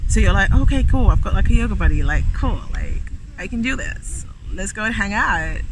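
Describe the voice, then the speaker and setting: A man's nasal, put-on character voice at a fairly quick pace, with audible echo. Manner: whiny.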